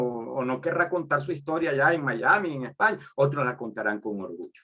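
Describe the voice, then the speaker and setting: Bright, sharp tone and lively intonation at a moderate pace, in a Venezuelan accent. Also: man. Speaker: sociology professor. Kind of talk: lecture. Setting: video call. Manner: halting, with filler repetitions.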